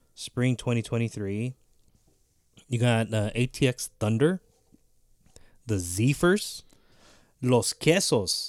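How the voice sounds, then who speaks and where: A man at a medium pitch talks at a very slow pace in a very clean recording with a silent background and a dry, close sound with no echo. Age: 30s. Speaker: amateur baseball podcast co-host. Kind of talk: casual chat.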